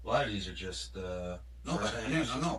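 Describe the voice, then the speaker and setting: Noticeable background noise runs under the speech. The talking keeps to a moderate pace. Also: man. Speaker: former household staff manager. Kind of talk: recorded interview answer.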